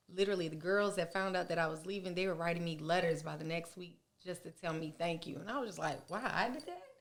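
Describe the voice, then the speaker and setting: At a very fast pace, a woman speaks in a fairly low pitch. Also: hardly any pauses. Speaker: beauty business owner, podcast guest. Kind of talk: casual interview chat. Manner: loud; blunt, animated.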